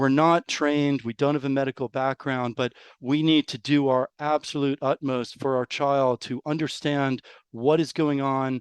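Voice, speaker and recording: This man, in an American accent, speaks fairly slowly at a fairly high pitch with monotone, flat intonation, recorded with a dry, close sound with no echo against a quiet background. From New York. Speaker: rare disease parent. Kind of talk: interview.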